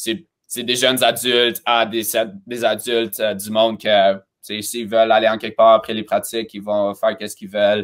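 A man's voice at a moderate pace with monotone, flat intonation, big swings in loudness, and a quiet background. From Romania, then Montreal from age 12. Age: 20s. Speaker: cheerleading coach and choreographer; cheerleading coach. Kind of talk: interview. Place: home room.

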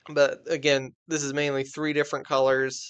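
Behind the voice, the background is quiet. A man talks at a moderate pace. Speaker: presenter. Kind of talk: tutorial. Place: home room. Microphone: webcam.

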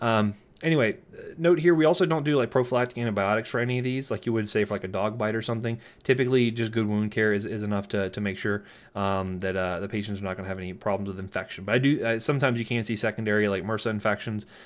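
A man talks at a very fast pace with an American accent. His pitch is fairly low for a man, with ordinary pitch variation. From Florida. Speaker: pharmacology lecturer. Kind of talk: lecture. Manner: casual, many fillers and repetitions. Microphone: webcam.

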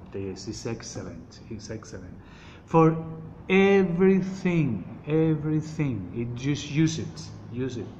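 With a Colombian accent, a man with a fairly high pitch speaks at a fairly slow pace, using very wide pitch swings, big swings in loudness and long, frequent pauses over light background noise. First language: Spanish. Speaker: oil seller giving health advice. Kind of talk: informal product explanation in a message. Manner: halting, hesitant, searching for words; repetitive, emphatic. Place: home room. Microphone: phone near.

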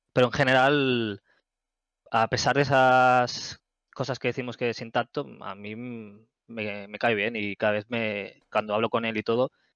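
Over a quiet background, a medium-pitched man speaks at a fairly slow pace with fairly even intonation and big swings in loudness. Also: dry sound with no echo. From Barcelona area, Spain; Spain. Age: 30s. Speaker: gamer and community moderator; gamer, community moderator. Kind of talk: casual interview. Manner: hesitant, many fillers. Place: home room. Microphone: headset.

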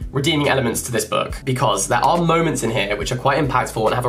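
With fairly even intonation, a man talks as faint music sits in the background. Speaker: book vlogger. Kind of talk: casual vlog chat, book review. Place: home room.

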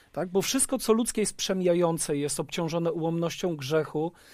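Against a quiet background and a dry sound with no echo, a man speaks in a high pitch with ordinary pitch variation. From Poland. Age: 30s. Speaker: pastor. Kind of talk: panel discussion. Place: studio. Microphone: headset.

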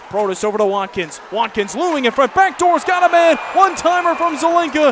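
A man speaks with very wide pitch swings. The sound is dry with no echo, though background noise is noticeable. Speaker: hockey play-by-play announcer. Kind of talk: live play-by-play commentary over game footage, highlight reel. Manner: excitable, rising intensity on goals. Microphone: headset.

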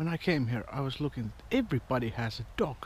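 Ordinary pitch variation from a man talking at a fairly quick pace

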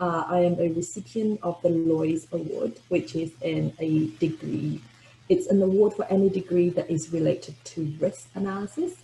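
A woman's fairly low-pitched, ordinary speaking voice at a moderate pace, with ordinary pitch variation and light background noise. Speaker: postgraduate scholarship recipient. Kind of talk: webinar talk about personal experience. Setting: video call. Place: home room. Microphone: webcam.

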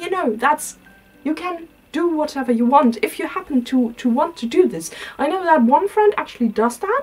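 Faint music plays behind a woman speaking. Her pitch is high and her pace moderate. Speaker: style vlogger. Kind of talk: casual vlog chat. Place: home room. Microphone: camera far.

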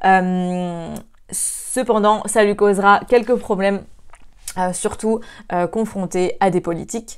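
At a very slow pace, a woman speaks with a medium pitch and fairly even intonation against a quiet background. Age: 20s. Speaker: student video presenter; presenter. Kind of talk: casual video review. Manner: hesitant, many filler sounds. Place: home room. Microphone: lapel.

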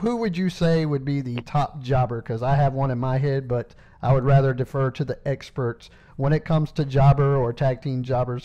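A man's medium-pitched voice in a Southern US accent, dark and mellow in tone, with fairly even intonation at a moderate pace. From South Carolina, Anderson. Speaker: podcast host. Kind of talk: interview. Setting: phone call.

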